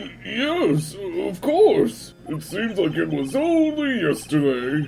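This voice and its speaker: This is a put-on character voice. Background noise is clearly heard. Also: man. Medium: fan dub. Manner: nervous, stammering.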